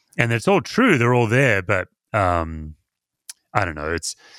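The speaker has an Australian accent and a moderate pace. The pitch swings very widely. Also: man. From Perth, Western Australia. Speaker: pastor and author. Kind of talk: casual interview chat.

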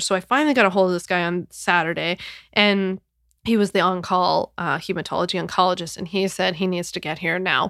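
Recorded very cleanly with a silent background and a dry, close sound with no echo, a woman speaks at a fairly quick pace with an American accent. She has a medium pitch and an ordinary speaking voice. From US Northeast, Philadelphia. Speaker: podcast host, online business entrepreneur. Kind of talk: casual solo podcast monologue. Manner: chatty, conversational with frequent fillers.

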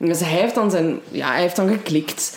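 Noticeable background noise sits behind a woman with a slight Limburg accent who speaks at a moderate pace in a fairly low pitch. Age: 20s. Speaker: true crime podcast co-host. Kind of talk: casual true crime storytelling. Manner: halting, many fillers.

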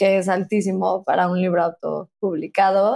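Here is an ordinary speaking voice from a woman at medium pitch. She speaks at a fairly slow pace. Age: 30s. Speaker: author and podcaster. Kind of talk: casual interview. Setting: remote recording from home.

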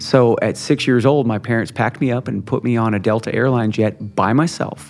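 Over noticeable background noise, a man of medium pitch talks at a fairly quick pace with ordinary pitch variation. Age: 50s. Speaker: panelist with hemophilia, fitness enthusiast. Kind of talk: live panel discussion.

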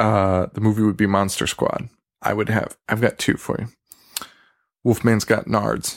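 The voice is quiet, with flat, monotone intonation. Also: man, fairly low pitch for a man, fairly slow pace. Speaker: horror podcast host. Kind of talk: solo casual podcast monologue. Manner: half-quiet talk.

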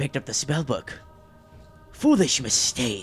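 Over clear music in the background, a man performs a put-on character voice at a fairly high pitch. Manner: menacing, theatrical.

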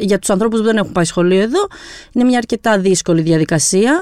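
A dry, close sound with no echo, full of very wide pitch swings. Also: woman. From Albania, raised in Greece from 1997. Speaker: journalist, editor. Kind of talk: podcast interview.

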